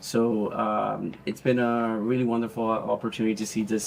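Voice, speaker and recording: With a Spanish accent, a man speaks at a moderate pace in a fairly low voice. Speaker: speech therapist. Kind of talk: interview. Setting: walking tour of facility. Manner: halting, many fillers.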